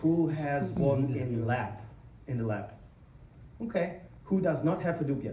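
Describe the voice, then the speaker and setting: There is audible room echo as a man speaks at a fairly slow pace with a fairly high pitch. He leaves long, frequent pauses. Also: lively intonation. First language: German. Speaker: tech company founder and conference speaker. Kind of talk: conference talk. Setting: stage with audience. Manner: hesitant, many fillers.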